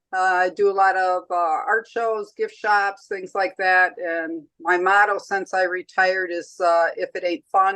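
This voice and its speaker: A woman's medium-pitched voice, bright and sharp in tone, over a quiet background. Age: 70s. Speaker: artist. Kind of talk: casual chat.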